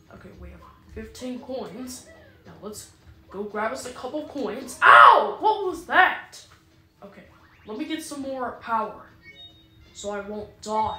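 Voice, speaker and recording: At a fairly slow pace with long, frequent pauses, the speech swings widely in loudness against faint background music and audible room echo. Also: woman, high pitch for a woman. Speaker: gamer playing. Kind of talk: casual gameplay commentary. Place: home room. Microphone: phone near.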